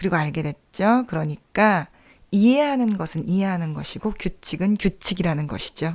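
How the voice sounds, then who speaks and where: On a very clean recording with a silent background, a woman with an unremarkable speaking voice talks at a moderate pace and medium pitch with lively intonation. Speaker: podcast host. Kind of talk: reflective podcast monologue.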